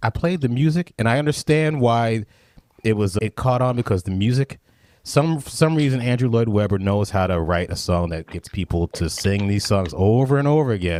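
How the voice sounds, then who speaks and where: A man's normal speaking voice at medium pitch, with lively intonation, a moderate pace, and a dry, close sound with no echo. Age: 50s. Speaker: podcast host and drummer. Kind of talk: casual interview.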